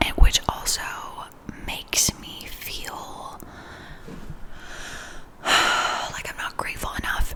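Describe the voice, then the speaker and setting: A very slow woman's whisper, with noticeable background noise behind it. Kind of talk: ASMR life update, casual talk to camera. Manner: whispered, soft-spoken.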